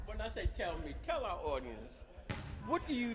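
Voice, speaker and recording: Audible room echo around a man's voice with an American accent. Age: 70s. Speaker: sports interviewer. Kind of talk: interview. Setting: gym. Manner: animated.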